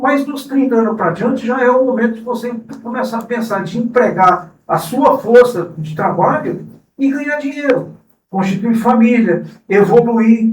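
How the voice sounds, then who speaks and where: A fairly slow pace with ordinary pitch variation. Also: man, extremely high pitch for a man. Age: 60s. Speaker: cooperative president. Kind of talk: interview.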